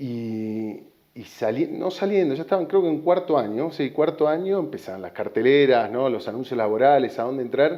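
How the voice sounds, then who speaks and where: This man has a fairly high pitch and an Argentine accent. His intonation is lively and his pace moderate. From Argentina, Buenos Aires. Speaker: tech sales executive. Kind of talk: interview.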